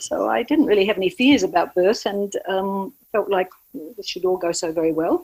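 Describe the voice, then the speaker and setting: At a moderate pace, a woman with an Australian accent speaks at a medium pitch with lively intonation. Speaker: doula and birth educator. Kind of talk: podcast interview. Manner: halting, many fillers.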